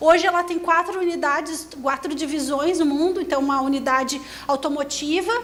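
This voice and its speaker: With audible room echo and noticeable background noise, a woman speaks at a moderate pace in a high pitch, her intonation fairly even. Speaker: engineer and industry researcher. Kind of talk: conference presentation. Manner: hesitant, many fillers.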